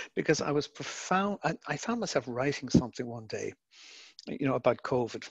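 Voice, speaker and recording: Somewhat breathy and fairly quick, a man with an Irish accent speaks in a fairly high pitch with lively intonation, in a dry, close sound with no echo over a quiet background. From Ireland. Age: 50s. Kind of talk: online Q&A. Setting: video call.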